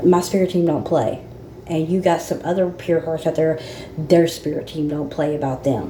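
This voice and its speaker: Fairly even intonation with audible room echo and noticeable background noise. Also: woman, fairly low pitch for a woman, moderate pace. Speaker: spiritual channel host. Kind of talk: casual spiritual monologue. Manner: halting.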